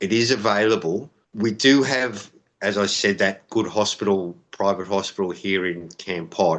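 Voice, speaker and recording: The voice comes with an Australian accent and ordinary pitch variation. It moves at a moderate pace. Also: man. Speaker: expat interviewee. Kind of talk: interview.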